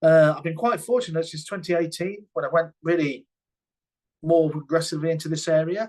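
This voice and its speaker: At a fairly quick pace, a man with a British accent speaks in a high pitch with ordinary pitch variation. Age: 60s. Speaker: health and safety consultant. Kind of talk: webinar presentation.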